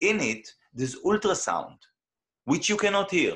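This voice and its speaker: A man with an Israeli accent speaks at a fairly slow pace. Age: 40s. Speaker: independent researcher. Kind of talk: interview conversation. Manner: animated; hesitant.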